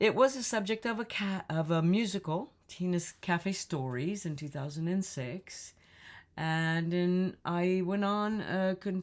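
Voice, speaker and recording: In an American accent, a woman speaks at a very slow pace with a fairly low pitch, on a very clean recording with a silent background. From Chicago. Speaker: singer. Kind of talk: casual talk to camera.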